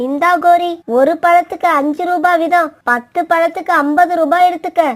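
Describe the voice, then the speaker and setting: A cartoonish character voice, pitched extremely high, talks at a fairly slow pace. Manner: polite, innocent.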